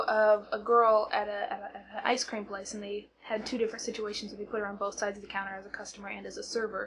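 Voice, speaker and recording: A woman talks at a fairly quick pace in a somewhat breathy, monotone voice with flat intonation. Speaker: vlogger who stutters. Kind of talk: casual vlog. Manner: halting, with repetitions and fillers.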